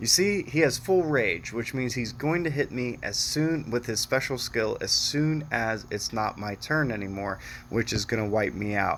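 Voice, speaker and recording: Soft-spoken and fairly slow, a man talks with ordinary pitch variation. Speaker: mobile game youtuber. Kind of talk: gameplay commentary. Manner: casual, hesitant with fillers.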